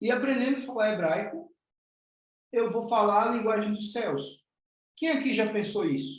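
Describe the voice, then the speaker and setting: This man's voice sits high in pitch and moves at a moderate pace. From Northeast Brazil. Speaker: spiritual teacher. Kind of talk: online class.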